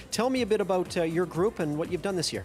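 A man rushes along at a very fast pace while faint music sits in the background. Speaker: telethon host. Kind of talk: live TV hosting banter. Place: hall. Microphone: handheld.

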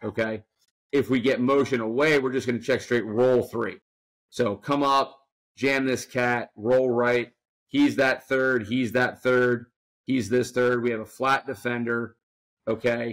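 Against a quiet background, a man at medium pitch speaks fairly slowly in a monotone, flat way. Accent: American. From New Jersey. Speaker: football coach. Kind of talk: casual chat.

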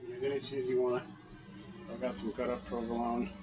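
A man mumbling over music in the background. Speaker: home cook. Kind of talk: casual cooking demo. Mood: relaxed, casual. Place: kitchen. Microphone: phone near.

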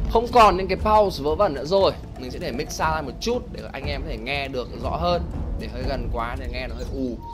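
Music plays in the background and room echo is audible as a man speaks at a fairly quick pace. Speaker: esports caster. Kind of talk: live commentary. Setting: livestream. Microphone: headphone sound leaking into mic, slight echo.

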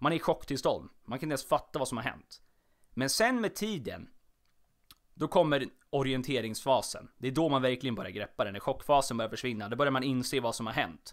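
Animated in tone, a man talks at a fairly quick pace in a medium pitch with lively intonation, recorded very cleanly against a silent background. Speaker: podcast host. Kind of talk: solo casual monologue. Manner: stumbling over words; animated, chatty.

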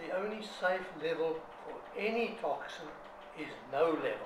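A man talks with noticeable background noise behind him. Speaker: homeopath. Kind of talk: interview. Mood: earnest, critical. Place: home room. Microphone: phone near.

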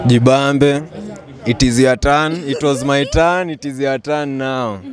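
Over music in the background, a man talks at a very slow pace with ordinary pitch variation, the sound dry with no echo. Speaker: interview guest. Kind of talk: interview answer. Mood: relaxed, smiling, playful. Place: street. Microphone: handheld.

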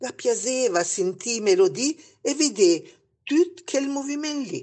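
A high female voice at a very slow pace with very wide pitch swings. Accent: Lombard. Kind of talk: storytelling in local dialect.

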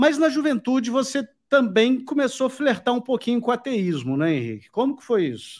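A man at an extremely high pitch with ordinary pitch variation, fairly quick with hardly any pauses, big swings in loudness, quiet background. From Brazil. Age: 40s. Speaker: YouTube host. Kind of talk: live interview. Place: home room. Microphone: studio mic.

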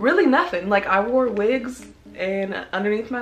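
There is faint music in the background. Over it, a woman talks. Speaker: vlogger. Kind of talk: casual Q&A vlog chat. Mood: relaxed, playful. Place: home room. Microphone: camera far.

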